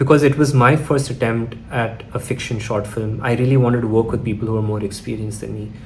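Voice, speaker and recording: A man talks very fast at a medium pitch, with fairly even intonation. The room echo is audible, and there's noticeable background noise. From Chennai, India. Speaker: filmmaker. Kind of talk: personal storytelling vlog.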